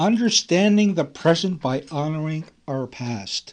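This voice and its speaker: Here is an unremarkable speaking voice, a man's with a fairly high pitch. He speaks at a fairly slow pace with lively intonation. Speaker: radio show co-host presenting a history segment. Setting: radio studio.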